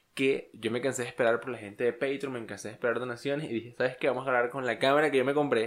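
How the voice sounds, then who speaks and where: Talking at a very fast pace with hardly any pauses, a man holds a medium pitch in a monotone, flat intonation on a very clean recording with a silent background. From Venezuela, Los Llanos. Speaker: podcast co-host. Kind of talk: casual chat.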